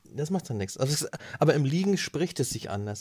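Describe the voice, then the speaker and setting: A man's somewhat breathy voice with lively intonation. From northern Germany, Flensburg. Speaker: podcast host. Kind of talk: casual chat. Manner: animated.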